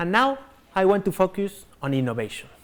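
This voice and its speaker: A man speaks with a Spanish accent. His voice is high, and his pace is moderate. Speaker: company executive. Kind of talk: corporate keynote presentation.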